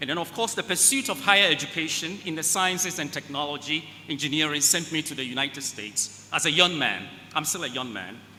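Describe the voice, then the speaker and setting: A man with a fairly high pitch and lively intonation, talking very fast. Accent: African. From West Africa. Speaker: keynote speaker, space agency executive. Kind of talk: keynote speech.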